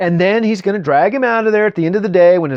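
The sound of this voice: Pitch varies in an ordinary way as the text is read in an unforced reading voice.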